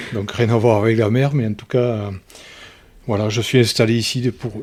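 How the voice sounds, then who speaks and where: Here a man talks at a moderate pace. His medium pitch follows a fairly even intonation. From Lozère, southern France. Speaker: ocean rower, petrochemical site manager. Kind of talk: podcast interview.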